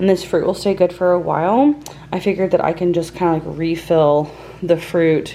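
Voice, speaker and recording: Very fast, quiet speech with ordinary pitch variation over noticeable background noise. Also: woman. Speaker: lifestyle vlogger. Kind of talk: casual vlog talk to camera. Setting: home kitchen. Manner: quiet, hushed.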